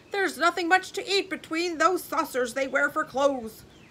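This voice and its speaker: In a put-on character voice, the speaker bellows and growls, projecting loudly. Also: woman. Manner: roaring, growling.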